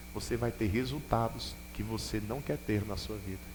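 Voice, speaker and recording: A man talks with vocal fry at a moderate pace. Audible room echo surrounds him. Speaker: bishop preaching. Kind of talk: sermon. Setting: church with congregation.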